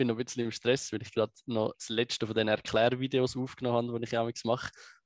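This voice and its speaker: A man talks fairly quickly, and the recording is very clean with a silent background. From Switzerland, Biel and Zurich lake area. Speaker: political activist and video explainer. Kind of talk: interview conversation.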